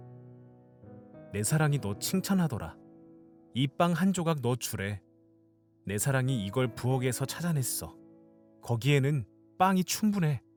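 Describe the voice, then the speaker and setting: Music plays in the background behind this voice. It moves at a very slow pace, with very wide pitch swings. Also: man. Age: young. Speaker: audiobook reader, aspiring voice actor. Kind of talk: fairy-tale narration with character voices.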